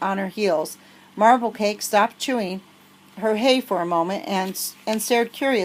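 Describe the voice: Pitch rises and falls in an ordinary way. The delivery is plain reading aloud.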